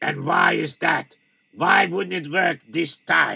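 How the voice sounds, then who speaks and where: Raspy and high-pitched, a man talks at a fairly slow pace. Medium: read story. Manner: stern, questioning.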